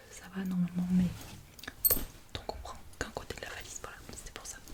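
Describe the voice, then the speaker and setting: A woman whispers at a moderate pace while noticeable background noise is heard. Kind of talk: ASMR get-ready-with-me chatty talk to camera. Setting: close to microphone, ASMR recording. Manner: soft-spoken, chatty, friendly.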